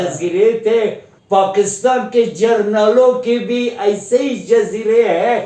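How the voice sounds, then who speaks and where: Noticeable background noise sits behind the speaker. He is a man with a high pitch. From Afghanistan. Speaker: Afghan guest who studied in India. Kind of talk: interview answer.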